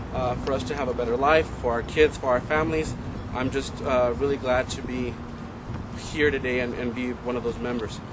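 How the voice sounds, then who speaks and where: A man with a Spanish accent speaks at a moderate pace and medium pitch with ordinary pitch variation, over noticeable background noise and audible room echo. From El Paso, Texas. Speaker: credit union member speaker. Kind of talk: public speech.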